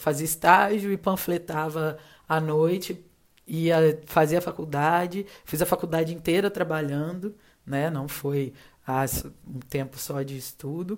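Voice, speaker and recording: Speaking at a fairly slow pace, a woman with a very deep, low pitch keeps her intonation fairly even. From Minas Gerais, Juiz de Fora (born in Rio de Janeiro). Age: 30s. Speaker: advertising professional. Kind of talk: casual interview chat.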